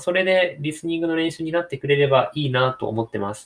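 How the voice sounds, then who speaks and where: A man talks at a fairly quick pace in an unremarkable speaking voice. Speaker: podcaster. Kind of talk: casual monologue.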